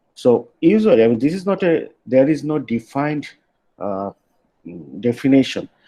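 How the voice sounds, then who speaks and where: A man with a Bengali accent speaks at a moderate pace, his intonation lively. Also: dry, close sound with no echo. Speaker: university lecturer. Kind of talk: lecture. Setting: online class. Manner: halting, many fillers.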